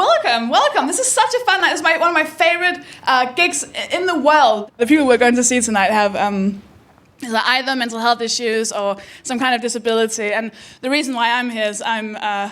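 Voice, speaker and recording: High-pitched woman with a Danish accent, lively intonation, fairly quick pace, audible room echo. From Denmark. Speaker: comedian and host. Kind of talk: stand-up. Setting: stage with audience.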